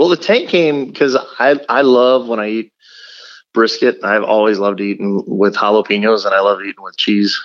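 With an American accent, a man of medium pitch talks at a moderate pace with ordinary pitch variation, an unremarkable speaking voice. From South Texas. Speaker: competition pitmaster and restaurant owner. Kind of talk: interview.

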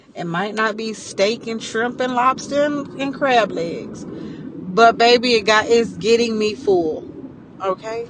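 Very slow speech from a woman against clearly audible background noise. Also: fairly high pitch for a woman, ordinary pitch variation. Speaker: podcast host. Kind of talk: solo motivational monologue. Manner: animated.

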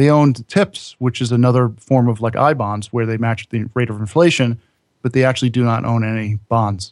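An ordinary speaking voice, fairly even in intonation, at a fairly quick pace. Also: man, medium pitch for a man. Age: 40s. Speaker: podcaster and personal finance blogger. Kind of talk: casual interview chat.

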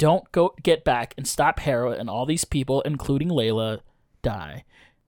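Simply plain reading aloud

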